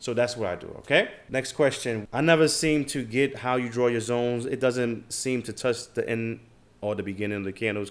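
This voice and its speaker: A man with a New York accent speaks at a moderate pace. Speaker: trading educator, YouTuber. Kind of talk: Q&A answering viewer comments. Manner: casual, many fillers.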